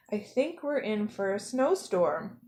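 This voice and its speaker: A woman puts on a character voice with a fairly high pitch, speaking at a fairly slow pace. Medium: read story. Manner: soft, thoughtful.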